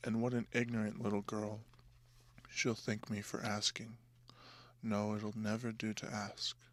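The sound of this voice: This voice is soft-spoken and moves at a fairly slow pace. Its intonation is monotone and flat. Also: man.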